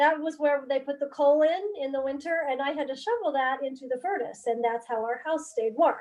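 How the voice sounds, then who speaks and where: Ordinary pitch variation shapes the speech of a woman whose voice is high-pitched. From southeastern Idaho, US. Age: 60s. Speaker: family member telling life story. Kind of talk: casual family chat. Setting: video call.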